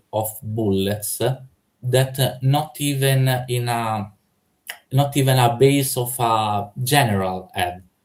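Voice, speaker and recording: Somewhat breathy, a man at medium pitch speaks with ordinary pitch variation. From Italy. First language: Italian. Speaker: debater. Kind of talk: heated debate. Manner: halting, many fillers.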